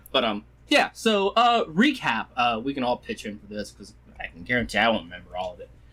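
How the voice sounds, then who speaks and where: A man speaks with lively intonation in a bright, sharp tone. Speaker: game master. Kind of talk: casual chat.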